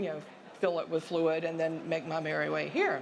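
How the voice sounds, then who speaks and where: A woman with a Southern US accent, in a room with audible echo. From US South. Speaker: sociology professor. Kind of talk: conference presentation.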